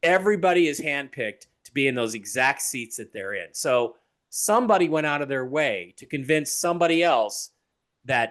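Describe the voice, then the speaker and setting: A man with a plain, everyday voice, fairly high in pitch, at a moderate pace, lively intonation and big swings in loudness over a quiet background. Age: 60s. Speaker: author and TV personality. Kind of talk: interview conversation.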